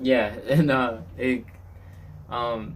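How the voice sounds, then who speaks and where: A man speaks at a medium pitch. The room echo is audible. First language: not English. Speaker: podcast host. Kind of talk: casual chat.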